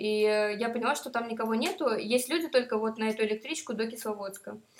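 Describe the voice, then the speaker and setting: A woman talks at a moderate pace with hardly any pauses, in a fairly high pitch. She has a plain, everyday voice with ordinary pitch variation. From Moscow. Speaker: tourist. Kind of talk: casual chat.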